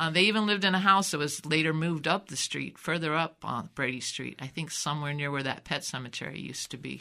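A very fast delivery with hardly any pauses, the tone bright and sharp with vocal fry. Pitch moves in an ordinary way, and the recording is very clean with a silent background. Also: woman, very deep, low pitch for a woman. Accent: American. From US Midwest, Davenport, Iowa. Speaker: family storyteller. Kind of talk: elder telling family history, oral-history interview. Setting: studio. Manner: meandering, warmly reminiscent with soft laughs; halting, restarts words.

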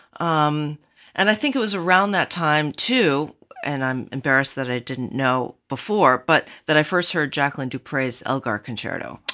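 A woman with an American accent has a very deep, low pitch and a bright, sharp tone. The recording is very clean, with a silent background. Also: lively intonation, moderate pace. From Michigan, US. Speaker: cellist. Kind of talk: casual chat.

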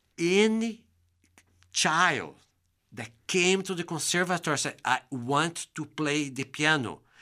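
On a very clean recording with a silent background, a man with a Brazilian Portuguese accent speaks fairly slowly in a high, bright, sharp voice, with long, frequent pauses. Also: ordinary pitch variation. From Brazil, interior of São Paulo state. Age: 50s. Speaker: bassoonist and music educator. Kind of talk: casual interview. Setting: studio.

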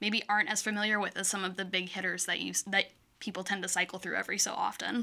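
Speech comes at a very fast pace in a Midwestern American accent, with monotone, flat intonation. Noticeable background noise runs underneath. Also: woman, medium pitch for a woman. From Michigan. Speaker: actor. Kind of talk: casual chat.

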